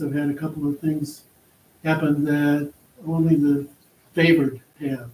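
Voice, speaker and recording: A man talks at a moderate pace in a fairly high, somewhat breathy voice. The tone is dark and mellow, and the intonation is monotone and flat. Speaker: county board candidate. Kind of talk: candidate forum answer. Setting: public forum with audience.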